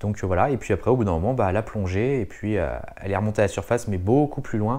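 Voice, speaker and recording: Over a quiet background, a man with a dark, mellow tone talks at a very fast pace. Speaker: wildlife observation vlogger. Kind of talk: casual vlog narration. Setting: outdoors at bird observatory. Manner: soft-spoken; hesitant, many fillers.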